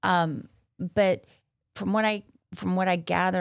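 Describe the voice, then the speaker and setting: The recording is very clean, its background silent. The speaker is a woman. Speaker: podcast host and coach. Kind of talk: casual podcast conversation. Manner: halting.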